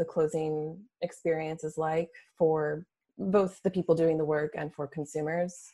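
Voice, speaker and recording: A woman is speaking. Her tone is dark and mellow. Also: quiet background. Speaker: podcast host. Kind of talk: interview.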